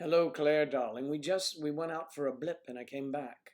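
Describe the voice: A man with a fairly high pitch and a slightly mellow tone talks at a moderate pace with ordinary pitch variation.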